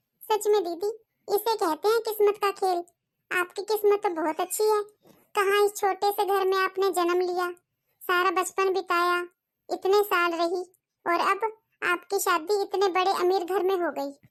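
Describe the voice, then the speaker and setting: A woman uses a cartoonish character voice at an extremely high pitch. She keeps a moderate pace with monotone, flat intonation. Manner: polite, soft-spoken.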